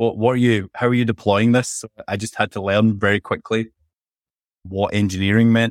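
A man with a Scottish accent talks at a moderate pace in a monotone, flat intonation, recorded with a dry, close sound with no echo on a very clean recording with a silent background. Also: medium pitch for a man. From Scotland; Glasgow. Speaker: MLOps head and author. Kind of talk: casual interview chat.

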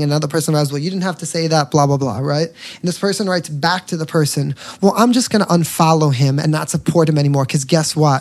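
An animated man with an American accent talks at a fairly quick pace. His voice is fairly high, with ordinary pitch variation. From New York. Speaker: singer and social media entertainer. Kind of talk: casual chat.

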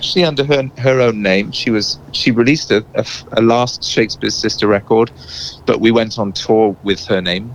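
A man's medium-pitched voice, with ordinary pitch variation, proceeds at a moderate pace against noticeable background noise. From England and South Wales. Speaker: singer-songwriter and producer. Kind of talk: interview.

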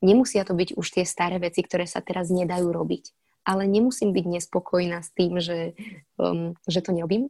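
With a dark, mellow tone and a fairly low pitch, a woman speaks at a moderate pace with fairly even intonation in a dry, close sound with no echo. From Slovakia. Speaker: actress. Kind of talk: interview. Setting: remote recording.

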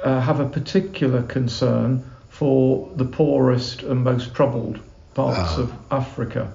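With a British accent and ordinary pitch variation, a man speaks over noticeable background noise. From England. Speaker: Anglican canon and charity CEO. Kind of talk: casual interview chat. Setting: on location in Uganda.

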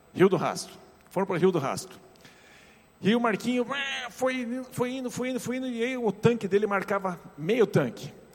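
Through noticeable background noise, a man with a high pitch and an animated tone speaks with ordinary pitch variation and long, frequent pauses. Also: moderate pace. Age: 50s. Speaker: pastor. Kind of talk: sermon.

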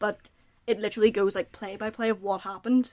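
Speaking in a Northern Irish accent, a woman talks at a very fast pace with flat, monotone intonation. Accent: Northern Irish (Belfast). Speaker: podcast panelist. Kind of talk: casual chat.

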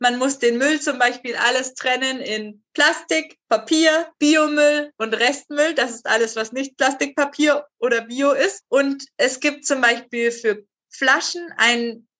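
Using fairly even intonation, a woman talks very slowly in a high pitch. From Hesse, Germany (Zwingenberg, near Frankfurt). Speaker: social worker. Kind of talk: interview. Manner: hesitant with many fillers.

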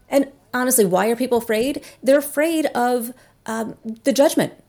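A woman's dark, mellow voice with an American accent, fairly slow in pace, with ordinary pitch variation. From New Jersey. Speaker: author and coach. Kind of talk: interview conversation.

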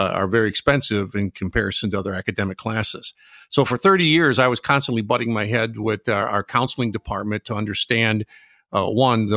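A man's normal speaking voice at medium pitch, fairly quick and fairly even, in a very clean, dry, close recording with a silent background and no echo. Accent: American. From Michigan, Detroit area. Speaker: retired welding teacher. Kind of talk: casual chat.

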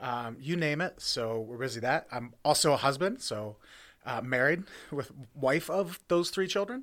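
An unremarkable speaking voice belongs to a man with an American accent, a fairly high pitch, lively intonation, and a moderate pace. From central Pennsylvania (Jersey Shore, near Williamsport). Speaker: brewery and distillery owner. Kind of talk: casual interview.

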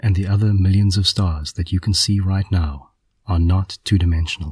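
Dry and close with no echo, a man speaks at a moderate pace in a very deep, low, somewhat breathy voice, his tone dark, mellow and gentle with fairly even intonation. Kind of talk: guided meditation. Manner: gentle, imaginative, hushed storytelling.

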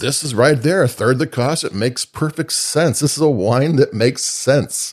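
Moderate pace, medium pitch and ordinary pitch variation from a man with an American accent, in a very clean recording with a silent background. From Chicago, US Midwest. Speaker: wine reviewer. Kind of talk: product review monologue. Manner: casual, hesitant with fillers.

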